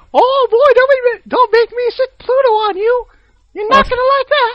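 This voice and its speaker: Someone uses a put-on character voice pitched extremely high. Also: moderate pace. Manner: angry.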